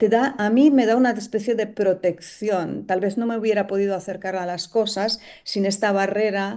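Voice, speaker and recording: Against a quiet background, a woman with a Romanian accent speaks at a moderate pace and medium pitch, her dark, mellow tone fairly even in intonation with hardly any pauses. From Romania (Transylvania). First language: Romanian (speaking Spanish). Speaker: novelist and poet. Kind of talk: interview. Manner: halting, many hesitations.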